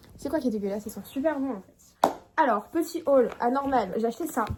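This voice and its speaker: A woman speaks at a fairly quick pace with a high pitch and lively intonation. Noticeable background noise is present. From Toulouse, France. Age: 20s. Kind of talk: casual vlog talk.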